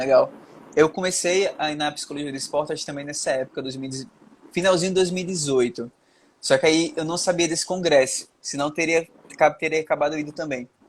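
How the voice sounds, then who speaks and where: Fairly high in pitch, a man speaks at a fairly quick pace in an ordinary speaking voice. His intonation stays fairly even while his loudness swings widely. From Brazil, Sergipe. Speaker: podcast host, psychology student. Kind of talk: interview podcast.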